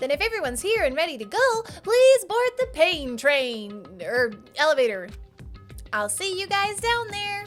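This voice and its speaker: Clear music plays in the background as a put-on character voice swings its pitch very widely at a moderate pace. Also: woman, extremely high pitch for a woman. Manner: playful, teasing.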